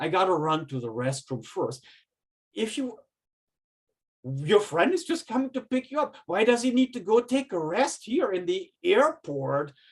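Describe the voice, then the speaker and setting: Speaking at a moderate pace with a German accent, a man uses a high pitch and very wide pitch swings, leaving long, frequent pauses in a very clean recording with a silent background. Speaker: professor. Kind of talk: lecture.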